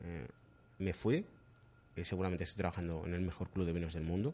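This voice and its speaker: A man speaks here. His voice is very deep and low-pitched. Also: quiet background. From Madrid, Spain. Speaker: sommelier. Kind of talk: casual interview.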